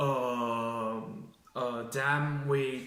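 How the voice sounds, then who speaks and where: This man has a Chinese accent and a medium pitch, with fairly even intonation. Audible room echo surrounds his voice. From China. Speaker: job applicant, engineering graduate. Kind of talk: mock job interview. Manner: halting, many fillers and restarts.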